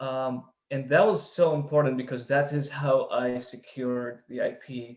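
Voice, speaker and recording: A man with a non-native accent and a fairly high pitch. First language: not English. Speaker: startup founder. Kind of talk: panel testimony. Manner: halting.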